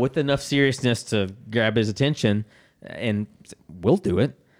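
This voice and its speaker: A man with an American accent speaks at a medium pitch with ordinary pitch variation. He has an unremarkable speaking voice. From US South, Jackson, Mississippi. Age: 30s. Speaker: soccer club staff member and former radio co-host. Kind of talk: casual chat.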